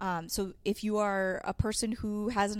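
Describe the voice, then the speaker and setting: This is a woman with an American accent. Her voice sits at a medium pitch. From Connecticut (Manchester). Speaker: television producer, media center director. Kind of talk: casual interview. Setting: studio. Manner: hesitant, many fillers.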